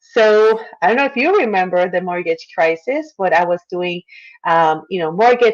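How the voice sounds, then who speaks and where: A woman with a Puerto Rican accent, medium pitch and ordinary pitch variation. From Puerto Rico. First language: Spanish. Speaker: marketer and former attorney. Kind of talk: interview.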